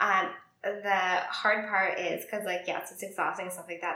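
A woman's fairly quick delivery competes with noticeable background noise. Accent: American. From New Jersey, US. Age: 30s. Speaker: YouTuber and former nurse. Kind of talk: casual interview chat.

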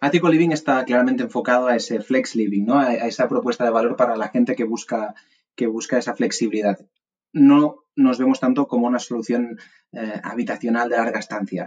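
A man's normal speaking voice at a medium pitch, fairly quick in pace, with fairly even intonation. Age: 20s. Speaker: startup CEO. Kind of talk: interview.

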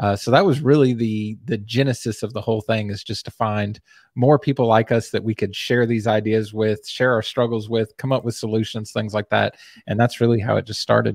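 In a dry, close sound with no echo, a man with an American accent and a normal speaking voice talks at a fairly quick pace, medium pitch and fairly even intonation. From US South, Texas. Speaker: web agency owner and Facebook group admin. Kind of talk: casual chat.

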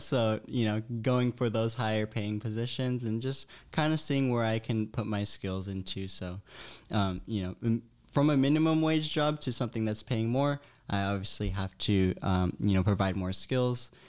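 On a very clean recording with a silent background, an ordinary speaking voice proceeds at a moderate pace. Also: man. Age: 20s. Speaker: scuba equipment technician. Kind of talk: casual chat.

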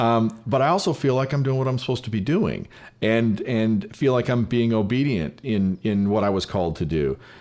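Very even in loudness, a man with a medium pitch speaks at a fairly quick pace with lively intonation in a very clean recording with a silent background. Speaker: filmmaker. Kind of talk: casual chat. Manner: fast.

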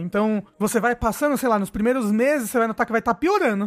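Recorded dry and close with no echo, a man speaks at an extremely high pitch with ordinary pitch variation. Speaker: podcast host. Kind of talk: casual chat.

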